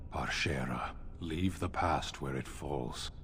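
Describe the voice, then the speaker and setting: Over clear background noise, a man puts on a character voice and speaks at a fairly slow pace. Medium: video game. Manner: terse, stern.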